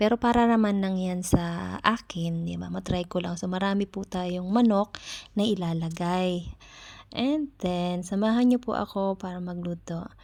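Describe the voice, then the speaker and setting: A soft-spoken woman at a fairly slow pace on a very clean recording with a silent background. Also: medium pitch for a woman, ordinary pitch variation. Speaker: caregiver and vlogger. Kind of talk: vlog voice-over.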